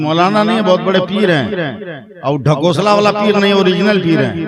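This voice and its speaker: A man's high-pitched voice in an animated tone, with ordinary pitch variation and audible room echo. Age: 60s. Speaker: Islamic cleric and preacher. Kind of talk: religious sermon at a public gathering. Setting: stage with audience. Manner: animated, rhetorical.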